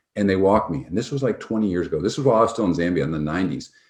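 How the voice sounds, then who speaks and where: With an American accent, a man speaks with vocal fry and very wide pitch swings against a quiet background. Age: 60s. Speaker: physician and health tech founder. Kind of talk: interview storytelling. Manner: casual, halting with fillers.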